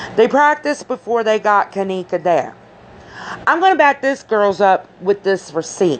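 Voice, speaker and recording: Over noticeable background noise, a woman speaks at a fairly slow pace. Her tone is animated, with very wide pitch swings. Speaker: YouTuber commenting on a crime case. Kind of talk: casual commentary vlog. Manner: speech disorder, stumbles over words; animated, emphatic.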